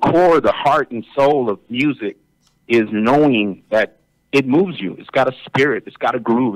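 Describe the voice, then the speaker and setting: Dry and close with no echo, a plain, everyday voice from a man at medium pitch moves at a moderate pace. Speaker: lead singer of a Tejano band. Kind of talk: interview answer.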